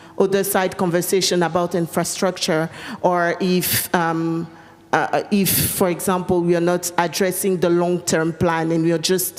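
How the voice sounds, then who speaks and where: Over noticeable background noise, a woman speaks in a fairly low voice with monotone, flat intonation. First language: French. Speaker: panelist. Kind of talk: panel discussion. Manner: hesitant, many fillers.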